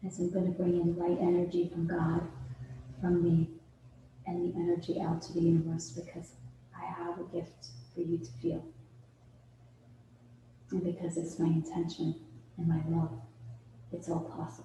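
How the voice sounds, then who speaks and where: With an American accent, a woman uses a calm, soothing tone in a fairly low, dark, mellow voice, her intonation fairly even and her pauses long and frequent. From New York, USA. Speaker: healer and workshop facilitator. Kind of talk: guided meditation and breathwork. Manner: calm, soothing, slow.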